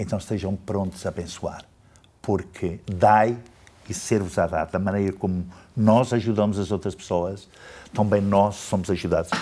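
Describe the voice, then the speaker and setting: A man speaks at a moderate pace in a fairly low pitch with a dark, mellow tone. His intonation is fairly even, with long, frequent pauses. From Portugal. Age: 70s. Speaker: pastor. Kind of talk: interview.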